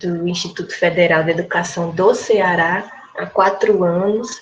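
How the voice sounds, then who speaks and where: Audible room echo surrounds a woman speaking at a very slow pace. Her pitch is medium and her intonation fairly even. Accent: northeastern Brazilian. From Rio Grande do Norte, Brazil. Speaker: history professor presenting her thesis. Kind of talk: academic lecture.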